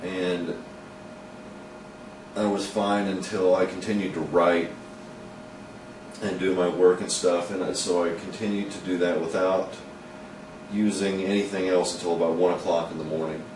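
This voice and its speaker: A man's very deep, low voice, monotone and flat, with long, frequent pauses, noticeable background noise and audible room echo. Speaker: vlogger and comedy columnist. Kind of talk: personal video diary. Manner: stumbling over words, halting; usually slow and deliberate.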